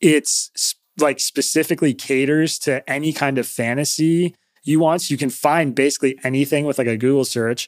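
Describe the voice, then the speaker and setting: This man has an unremarkable speaking voice, fairly high in pitch with fairly even intonation. He talks at a moderate pace, and the sound is dry and close with no echo. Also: very clean recording, silent background. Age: 30s. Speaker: podcast host. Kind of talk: casual chat.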